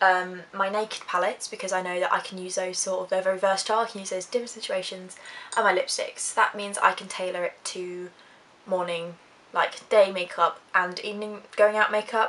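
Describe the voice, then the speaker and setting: A woman in an Essex accent talks at a fairly quick pace with monotone, flat intonation over noticeable background noise. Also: medium pitch for a woman, big swings in loudness. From Essex, UK. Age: young. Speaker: YouTuber, psychology student. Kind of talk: casual talk to camera.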